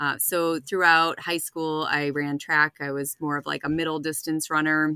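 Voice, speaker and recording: A woman in a Boston accent, with a very deep, low pitch, a bright, sharp tone and monotone, flat intonation, on a very clean recording with a silent background and dry, close sound with no echo. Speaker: runner, spouse of recovering alcoholic. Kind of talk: casual interview.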